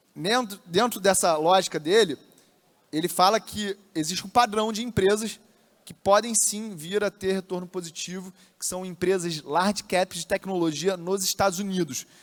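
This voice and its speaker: Fairly even in intonation, a man's high voice shows big swings in loudness. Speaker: investment influencer. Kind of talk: lecture. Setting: stage with audience. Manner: fast.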